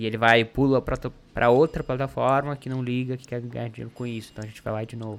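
A man at medium pitch in a monotone, flat delivery, very fast with hardly any pauses and big swings in loudness. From Paraná, Brazil. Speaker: activist campaign organizer. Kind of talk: casual interview chat.

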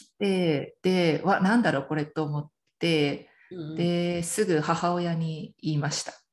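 A woman's fairly low voice at a very slow pace, with fairly even intonation. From Miyazaki, Japan. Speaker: parenting mentor, coaching client. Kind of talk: interview testimony.

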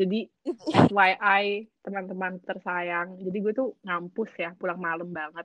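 A woman's medium-pitched voice moves along at a fairly slow pace. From Indonesia. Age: 20s. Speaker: student living abroad. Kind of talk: casual chat. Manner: animated. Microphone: too quiet.

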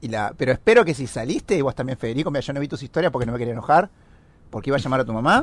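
A man's medium-pitched voice in an Argentine accent, very fast and with lively intonation. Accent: Rioplatense Argentine Spanish. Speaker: podcast co-host. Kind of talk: casual chat.

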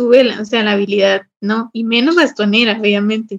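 Here is a woman with a plain, everyday voice. Her pitch is fairly high and her pace moderate. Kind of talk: casual chat.

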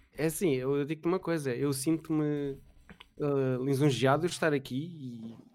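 Here is an ordinary speaking voice from a man, fairly high in pitch. His intonation stays fairly even. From Portugal, Mem Martins (Sintra area). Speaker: Twitch streamer. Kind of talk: casual chat.

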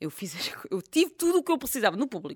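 At a very fast pace, a woman with vocal fry and an animated tone makes very wide pitch swings in a very clean recording with a silent background and a dry, close sound with no echo. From Portugal, village near Fátima. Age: 30s. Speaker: comedian and cancer survivor. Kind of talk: casual chat.

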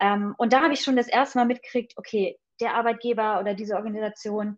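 Speaking very fast, a woman uses a fairly high pitch and fairly even intonation. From Hesse, village near Fulda. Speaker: pediatric nurse. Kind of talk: interview. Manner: hesitant, many filler sounds.

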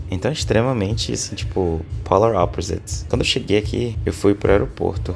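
Music plays in the background as a man speaks with a very deep, low pitch and ordinary pitch variation. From Brazil, Roraima (Boa Vista), later Manaus. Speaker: tech worker, digital nomad. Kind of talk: casual interview. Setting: remote call from a hostel.

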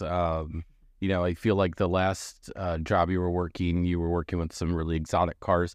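A man with an American accent and a very deep, low pitch speaks at a moderate pace against a quiet background. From Missouri. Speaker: podcast host. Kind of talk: casual interview chat.

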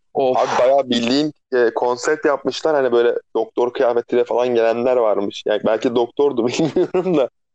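A man speaks at a moderate pace in a medium-pitched voice with a dark, mellow tone and fairly even intonation. His loudness stays very even, and the sound is dry and close with no echo. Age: 30s. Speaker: podcast co-host, barista. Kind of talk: casual chat. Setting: phone call. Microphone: phone line, rough sound.

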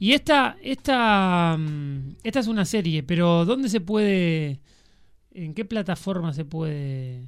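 Very slow and fairly low-pitched, a woman's voice makes very wide pitch swings on a very clean recording with a silent background. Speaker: radio show co-host. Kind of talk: casual chat.

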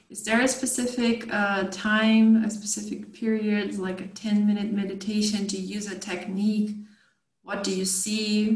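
A woman speaks with monotone, flat intonation, and audible room echo surrounds her voice. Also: big swings in loudness. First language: Portuguese. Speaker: podcast host. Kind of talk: interview.

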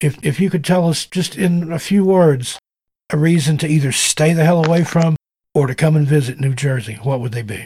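A man's dark, mellow voice, fairly high in pitch, with ordinary pitch variation at a moderate pace. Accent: slight Southern US. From US South. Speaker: podcast host. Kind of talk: casual interview.

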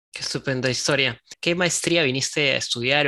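Fairly quick speech from a man, medium in pitch and fairly even in intonation. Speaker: podcast host. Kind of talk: interview; scripted narration. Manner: hesitant in conversation, repeats words.

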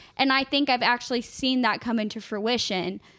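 A woman's fairly high-pitched voice, a plain, everyday voice, with fairly even intonation and a moderate pace, on a very clean recording with a silent background. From Texas. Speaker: podcast co-host. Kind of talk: casual chat.

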